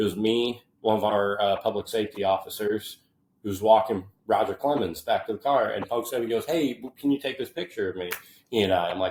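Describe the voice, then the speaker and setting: Speaking in a fairly low register, the man uses ordinary pitch variation and has an American accent. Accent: Midwestern with a Southern drawl when tired. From US Midwest, western Illinois. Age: 20s. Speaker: podcast guest, university staff worker. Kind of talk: casual chat. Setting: in person, visiting host.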